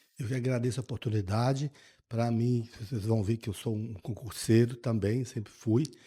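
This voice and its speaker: A man's voice sits at medium pitch, somewhat breathy, with a dark, mellow tone. He keeps a moderate pace and fairly even intonation. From Brazil, interior of Minas Gerais. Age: 60s. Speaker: state finance secretary. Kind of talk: podcast interview. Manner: halting, repeats words.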